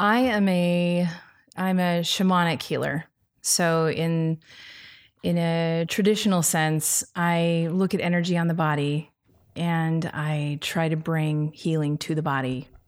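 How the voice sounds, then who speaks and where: An unremarkable speaking voice moves at a fairly slow pace with fairly even intonation in a very clean recording with a silent background. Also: woman, fairly low pitch for a woman. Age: 40s. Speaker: shamanic healer and meditation teacher. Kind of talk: interview conversation.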